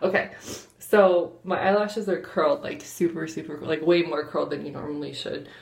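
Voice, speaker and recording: A woman's voice at a moderate pace, with audible room echo. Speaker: vlogger. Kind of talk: casual makeup tutorial. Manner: quiet, hushed; hesitant, lots of fillers.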